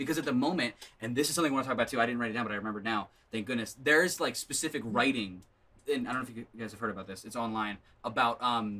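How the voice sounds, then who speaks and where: In an animated tone, a man talks very fast at a medium pitch. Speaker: podcast co-host. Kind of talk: casual chat.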